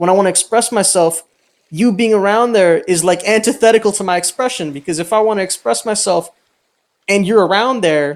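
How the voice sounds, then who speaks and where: Loud and animated, a man speaks at a fairly quick pace with ordinary pitch variation. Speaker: roleplay game server owner. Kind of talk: heated argument.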